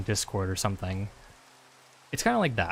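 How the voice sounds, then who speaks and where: A man speaks softly at a fairly quick pace. His pitch varies in an ordinary way. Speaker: streamer. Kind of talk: casual chat. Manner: soft-spoken; casual, filler-heavy.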